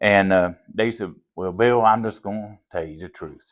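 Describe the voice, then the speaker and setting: A man with a Southern accent, fairly low in pitch, with ordinary pitch variation and a moderate pace, in a very clean recording with a silent background. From US South (Appalachia). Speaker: pastor. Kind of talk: testimony.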